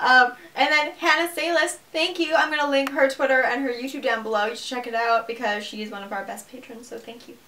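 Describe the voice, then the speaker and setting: Over noticeable background noise, a woman with a high pitch uses a raised, projected voice at a fairly quick pace, with hardly any pauses, ordinary pitch variation and big swings in loudness. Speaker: podcast co-host. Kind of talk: casual chat.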